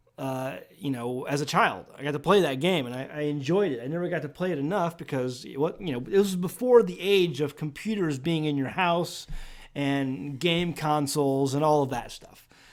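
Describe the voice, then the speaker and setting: On a very clean recording with a silent background, a man with a fairly high pitch speaks at a moderate pace. He uses hardly any pauses and ordinary pitch variation. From US Midwest, St. Louis area. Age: 40s. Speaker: homesteading podcast host. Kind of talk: casual podcast chat. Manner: loud; halting, many restarts.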